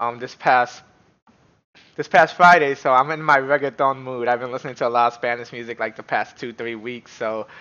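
A man at a moderate pace, his pitch moving in an ordinary way. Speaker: streamer, reaction youtuber. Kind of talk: casual vlog chat. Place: home room.

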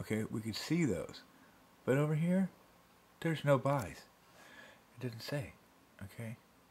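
Pausing long and often, a man speaks with lively intonation in a somewhat breathy voice. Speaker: home video uploader. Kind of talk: angry rant at the camera about site changes. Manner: irate, sarcastic, exasperated, repeating points and jabbing with rhetorical questions; fast, emphatic, rambling and self-interrupting. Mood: annoyed, ranting. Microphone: phone near.

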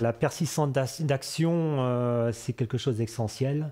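Speaking at a fairly slow pace, a man uses ordinary pitch variation in a dark, mellow tone. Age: 50s. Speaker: cereal farmer. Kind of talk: interview testimony. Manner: hesitant, many filler sounds. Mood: calm, friendly. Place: farm machine.

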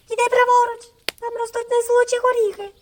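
A put-on character voice, female-sounding, at an extremely high pitch and a very fast pace. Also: monotone, flat intonation. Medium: read story.

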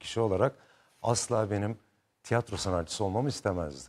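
A man's voice with lively intonation. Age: 50s. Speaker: actor. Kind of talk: talk show interview. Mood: relaxed, warm, smiling. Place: studio. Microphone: lapel.

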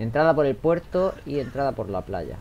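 This speaker talks at a moderate pace with a Spanish accent. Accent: Peninsular Spanish. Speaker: gaming video creator. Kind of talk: let's play commentary. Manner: animated.

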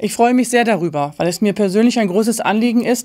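Over a quiet background, the speech moves at a very fast pace with ordinary pitch variation. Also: woman. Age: 50s. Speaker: political candidate; candidate. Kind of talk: campaign speech. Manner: formal. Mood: earnest, committed. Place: studio.

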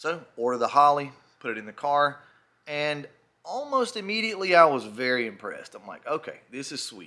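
Against a quiet background, a man talks at a moderate pace with lively intonation. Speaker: car enthusiast vlogger. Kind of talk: casual vlog chat. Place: garage. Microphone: phone near.

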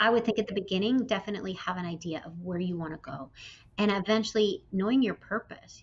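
A woman at a very fast pace, somewhat breathy, with big swings in loudness. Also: medium pitch for a woman, ordinary pitch variation. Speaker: entrepreneur; interview guest. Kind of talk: interview. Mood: warm, upbeat. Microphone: video call.

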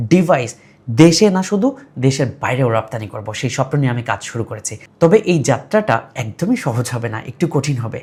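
A medium-pitched male voice, somewhat breathy, with lively intonation. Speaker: programming and robotics instructor. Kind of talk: course introduction.

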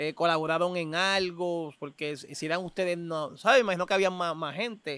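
This man's voice is high-pitched, with a bright, sharp tone and fairly even intonation, moving at a moderate pace with hardly any pauses in a dry sound with no echo. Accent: Puerto Rican. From Puerto Rico. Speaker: podcast host, freestyle rapper; podcast host. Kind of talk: casual interview; interview question. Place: open country. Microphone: studio mic.

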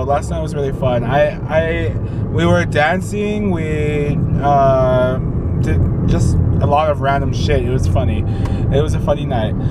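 Loud background noise surrounds a fairly slow voice in a dry recording with no echo. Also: man. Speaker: vlogger. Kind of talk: casual vlog chat. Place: car. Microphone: phone near.

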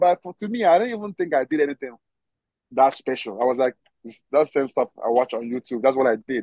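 A man with a Nigerian accent talks at a fairly quick pace with lively intonation, his voice dry with no echo over a quiet background. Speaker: professional football player; guest. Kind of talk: casual interview. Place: garden. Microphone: video call.

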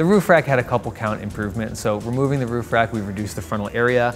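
A man talks at a very fast pace with ordinary pitch variation. Faint music plays in the background. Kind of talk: interview answer. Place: studio. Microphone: lapel.

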